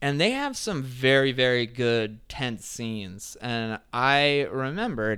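A bright, sharp tone with an American accent moves at a fairly slow pace with ordinary pitch variation. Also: man. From New Jersey. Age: 30s. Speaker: podcast co-host. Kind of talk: casual chat.

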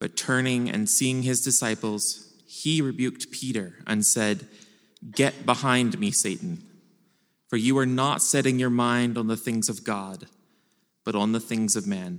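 A man's unremarkable speaking voice, medium in pitch, at a fairly slow pace. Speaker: scripture reader. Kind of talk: reading aloud. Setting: church.

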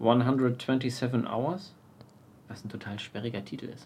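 A man at medium pitch, at a very slow pace with fairly even intonation, amid noticeable background noise and audible room echo. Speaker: podcast co-host. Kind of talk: casual chat. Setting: outdoors on a terrace. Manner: loud.

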